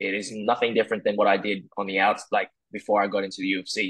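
Against a quiet background, a man with an Australian accent speaks fairly quickly in a fairly low pitch. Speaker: mixed martial arts fighter. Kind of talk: interview. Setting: video call. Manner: halting, many repeated words. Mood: relaxed, confident, smiling. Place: home room. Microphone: earbuds.

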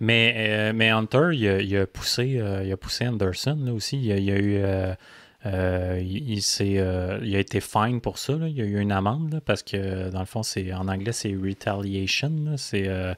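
A man with a Quebec accent speaks at a fairly slow pace and a fairly low pitch, with ordinary pitch variation. The recording is very clean with a silent background. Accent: Québécois French. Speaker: motocross podcast co-host. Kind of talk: casual chat.

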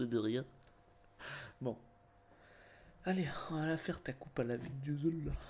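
A man with a dark, mellow tone, a moderate pace, and fairly even intonation. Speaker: ASMR roleplay hairdresser. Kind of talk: casual roleplay comedy banter.

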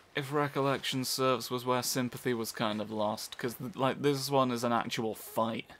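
A man with a British accent, medium pitch and moderate pace. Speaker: let's play gamer. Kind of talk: gameplay commentary. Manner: animated.

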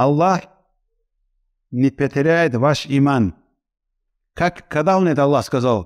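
Over a quiet background, a man speaks very slowly with long, frequent pauses and very even loudness. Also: fairly high pitch for a man, ordinary pitch variation. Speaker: Islamic lecturer. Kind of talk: religious lecture. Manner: halting. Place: studio. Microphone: headset.

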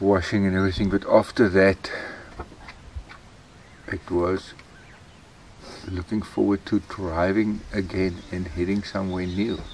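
The delivery is monotone and flat, at a fairly slow pace with long, frequent pauses. The sound is dry with no echo, and there is light background noise. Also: man, very deep, low pitch for a man. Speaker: travel vlogger. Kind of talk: casual vlog chat. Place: open country. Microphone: camera far.

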